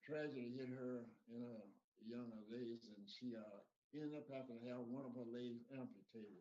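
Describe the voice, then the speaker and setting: Amid audible room echo, a man with a Texan accent, medium pitch and dark, mellow tone talks at a moderate pace with fairly even intonation. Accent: Texan Southern US. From Texas, Dayton. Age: 80s+. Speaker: interview guest. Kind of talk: interview. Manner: halting.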